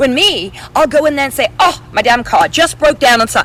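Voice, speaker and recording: At a very fast pace, a woman with an English accent speaks in a high pitch with very wide pitch swings while music plays in the background. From England. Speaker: author, model, actress, TV reporter. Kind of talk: interview answer.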